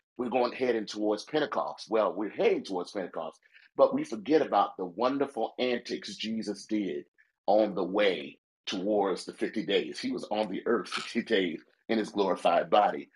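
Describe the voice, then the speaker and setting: At a moderate pace, a man with a normal speaking voice talks in a fairly low pitch with ordinary pitch variation. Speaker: pastor. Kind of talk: casual chat. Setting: phone call.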